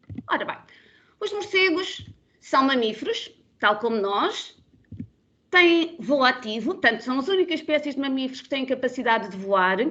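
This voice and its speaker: A raised, projected voice with a bright, sharp tone swings very widely in pitch, with long, frequent pauses. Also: woman, high pitch for a woman. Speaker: biologist, bat conservation expert. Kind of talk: webinar presentation. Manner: fast; loud, animated.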